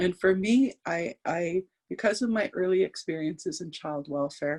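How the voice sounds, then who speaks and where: A woman at a medium pitch and moderate pace, with lively intonation and a dry, close sound with no echo. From northern Saskatchewan, Canada. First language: Cree. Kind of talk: talk. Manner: halting, repetitive.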